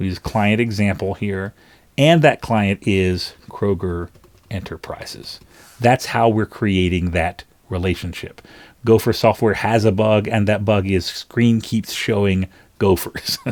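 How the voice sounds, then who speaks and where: A man speaks in a plain, everyday voice, fairly low in pitch with ordinary pitch variation. His pace is fairly slow. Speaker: software tutorial maker. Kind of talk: tutorial. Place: home room.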